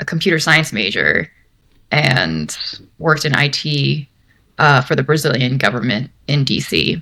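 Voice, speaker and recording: With a Mid-Atlantic American accent, a woman speaks at a fairly slow pace in a very deep, low pitch, her bright, sharp tone showing vocal fry and lively intonation while her loudness stays very even. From Maryland, US (Bethesda, near DC). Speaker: senior product designer. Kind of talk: interview. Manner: casual, with many fillers.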